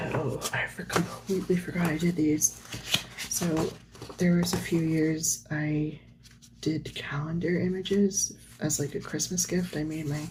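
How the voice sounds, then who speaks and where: A woman speaks with a very deep, low pitch and monotone, flat intonation. Her pace is fairly slow, with noticeable background noise. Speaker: artist. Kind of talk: casual talk to camera while flipping through sketchbooks. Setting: lo-fi home recording with page-turning sounds. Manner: soft-spoken.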